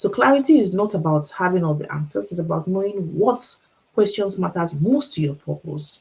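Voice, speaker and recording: Talking at a very fast pace in a Nigerian accent, a woman sounds somewhat breathy, with lively intonation. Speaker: author and teacher, motivational speaker. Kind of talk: motivational talk on a livestream. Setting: Instagram live stream.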